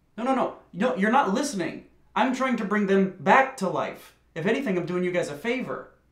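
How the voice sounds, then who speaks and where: A man speaks in a high voice at a fairly quick clip. The room echo is audible, and the background is quiet. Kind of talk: interview answer.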